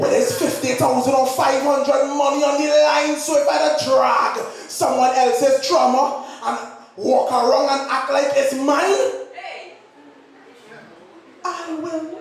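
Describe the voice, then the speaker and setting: Against noticeable background noise, a man with an extremely high pitch talks at a fairly slow pace with fairly even intonation. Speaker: spoken word poet. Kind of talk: slam poetry performance.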